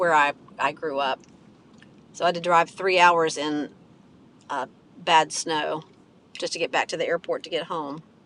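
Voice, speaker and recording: A woman talks at a fairly slow pace in an American accent. Her tone is bright and sharp. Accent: country twang. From West Virginia. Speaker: live streamer. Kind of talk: casual chat. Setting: in a car.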